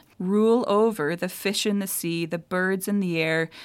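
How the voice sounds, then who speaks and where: The speaker, with a Minnesota accent, goes at a fairly slow pace with ordinary pitch variation in a very clean recording with a silent background. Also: woman. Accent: Minnesotan Midwest. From Minnesota, US Midwest. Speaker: theologian and professor. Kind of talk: casual interview.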